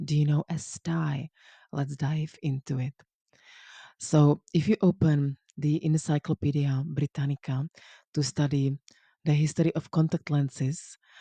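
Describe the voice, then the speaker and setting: Fairly slow speech in a non-native accent, with long, frequent pauses and a quiet background. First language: not English. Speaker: language coach. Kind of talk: educational talk. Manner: relaxed, casual.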